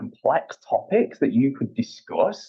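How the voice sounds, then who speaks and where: This man has a British accent. He talks at a moderate pace. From UK. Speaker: payments executive. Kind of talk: podcast interview. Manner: hesitant, repeats words.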